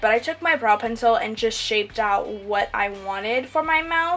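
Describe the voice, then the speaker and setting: A woman's fairly high-pitched voice with music in the background. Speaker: makeup YouTuber. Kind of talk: voiceover tutorial. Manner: fast; casual, hesitant with fillers.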